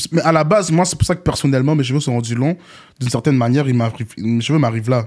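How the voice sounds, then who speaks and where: Talking at a very fast pace, a man has a fairly high pitch and ordinary pitch variation. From Montréal, Quebec. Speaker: rapper. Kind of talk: casual interview.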